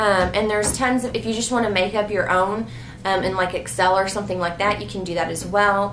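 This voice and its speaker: Over noticeable background noise and audible room echo, a woman speaks fairly quickly at a medium pitch with fairly even intonation. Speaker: homeschooling mom vlogger. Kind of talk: casual Q&A vlog.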